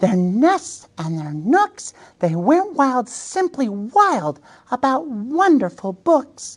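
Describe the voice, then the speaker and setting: A woman speaks at a very slow pace in a high voice, her pitch swinging very widely. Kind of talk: picture book read-aloud. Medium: read story. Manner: warm, playful, chatty asides.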